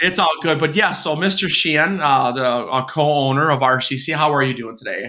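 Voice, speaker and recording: A man's bright, sharp voice, fairly high in pitch, at a fairly quick pace with hardly any pauses and ordinary pitch variation. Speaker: podcast host. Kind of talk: podcast interview.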